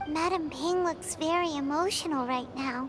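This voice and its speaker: A put-on character voice speaks at a high pitch and a moderate pace. Loud background noise fills the recording. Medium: video game.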